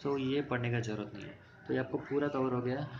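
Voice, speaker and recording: A man with a non-native accent and medium pitch speaks at a moderate pace in a monotone, flat delivery, with audible room echo and noticeable background noise. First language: not Hindi (speaking Hindi). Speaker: exam coaching teacher. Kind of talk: tutorial. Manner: mixes Hindi with English, halting Hindi.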